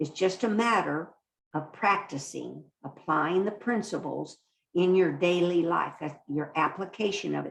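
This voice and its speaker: With vocal fry, a woman speaks at a fairly slow pace in a fairly low pitch with ordinary pitch variation. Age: 70s. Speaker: spiritual teacher, study group leader. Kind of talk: online spiritual study group talk. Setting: video call.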